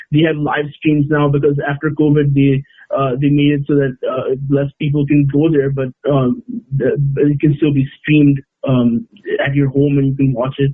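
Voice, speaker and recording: A man's fairly high pitch with a Bengali accent and monotone, flat intonation. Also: moderate pace. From Oman, Indian family. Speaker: sports editor. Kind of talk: casual interview chat. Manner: halting, many hesitations.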